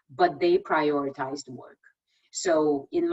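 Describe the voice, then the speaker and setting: Speaking with a non-native accent, a woman uses lively intonation in a very deep, low voice. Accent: foreign. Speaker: tech executive. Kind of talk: presentation and Q&A.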